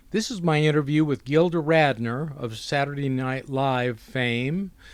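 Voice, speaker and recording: In a plain, everyday voice, a man with a fairly high pitch speaks at a fairly slow pace with ordinary pitch variation. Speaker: journalist interviewer. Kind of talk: archive introduction narration.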